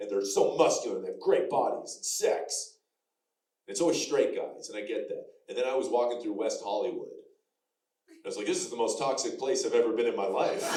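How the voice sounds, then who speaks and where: Fairly quick male speech, audible room echo around it. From Canada, Alberta. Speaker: comedian. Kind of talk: stand-up. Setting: stage with audience.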